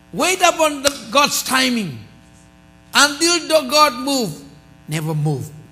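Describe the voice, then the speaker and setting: With a raised, projected voice, a man speaks very slowly at an extremely high pitch and with lively intonation. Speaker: pastor. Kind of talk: sermon. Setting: church. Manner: animated. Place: church.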